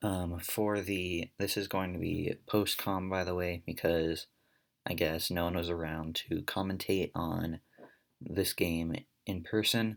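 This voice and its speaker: A man speaks at a fairly slow pace with a very deep, low pitch and fairly even intonation. The recording is very clean with a silent background. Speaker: esports commentator. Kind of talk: recorded post-match commentary. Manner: halting, many fillers.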